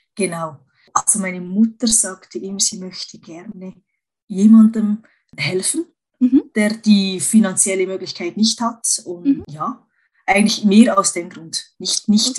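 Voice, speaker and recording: A woman speaks at a fairly slow pace in a somewhat breathy voice at a medium pitch. Her pitch variation is ordinary, and her loudness swings widely. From Switzerland. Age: 40s. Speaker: cosmetician, masseuse and coach. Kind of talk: casual interview. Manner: halting, with frequent fillers.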